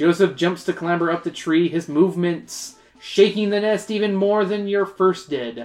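The voice belongs to someone reading aloud in a natural voice. Its intonation is fairly even.

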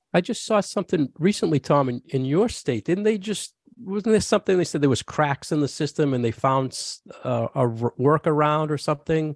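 Over a quiet background, a man uses a normal speaking voice, fairly high in pitch with lively intonation, the sound dry and close with no echo. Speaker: podcast co-host. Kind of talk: casual interview.

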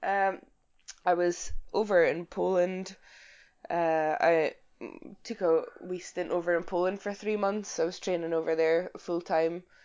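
A woman with a Scottish accent and a fairly low voice speaks fairly slowly in a flat monotone, with long, frequent pauses. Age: 20s. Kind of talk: casual interview chat.

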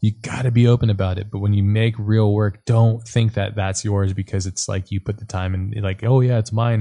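Against a quiet background, a man speaks at a fairly quick pace with fairly even intonation. His fairly low voice has a dark, mellow tone and is somewhat breathy. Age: 30s. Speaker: podcast host. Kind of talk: casual chat; monologue.

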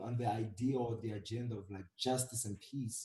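Somewhat breathy and with a dark, mellow tone, a man speaks at a fairly slow pace. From South Africa. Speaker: photographer. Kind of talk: casual chat.

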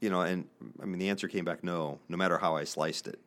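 Speaking in a Midwestern American accent, a man with a very deep, low voice keeps a monotone, flat intonation. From Northeast Indiana, US Midwest. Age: 50s. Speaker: business podcast host and investor. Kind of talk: casual interview. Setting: studio.

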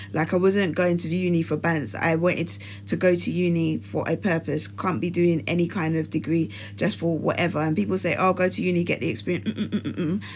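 With very wide pitch swings and a very deep, low pitch, a woman speaks at a fairly quick pace against noticeable background noise. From England, Nigerian family. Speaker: podcast co-host. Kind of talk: casual chat. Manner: animated.

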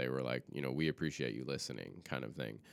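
This man's voice has vocal fry and a bright, sharp tone. His pitch varies in an ordinary way. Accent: American. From US South. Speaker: filmmaker. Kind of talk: casual chat.

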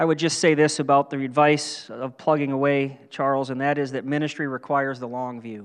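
A man with an American accent and a normal speaking voice, fairly high in pitch, with fairly even intonation, a fairly quick pace and hardly any pauses. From western Pennsylvania and western New York. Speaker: pastor. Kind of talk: sermon. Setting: church.

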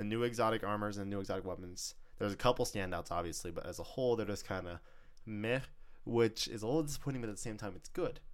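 At a very fast pace, a man talks in a fairly low pitch with an animated tone. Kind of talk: casual chat. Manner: animated, fast talker.

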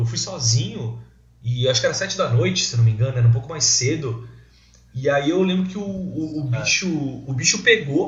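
Lively intonation marks this man's fairly high voice, delivered at a moderate pace. Room echo is audible. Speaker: podcast host. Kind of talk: casual chat; sponsorship appeal.

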